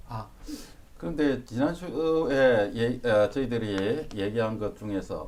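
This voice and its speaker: A man with a slight Busan accent, medium pitch and lively intonation, amid noticeable background noise and audible room echo. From South Korea, Busan. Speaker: university professor. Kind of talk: lecture.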